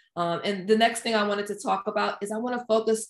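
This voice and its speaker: A woman speaks in a normal speaking voice with an American accent, at medium pitch. Her pace is fairly quick and her intonation fairly even. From Washington DC area. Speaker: project manager and author. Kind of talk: casual interview.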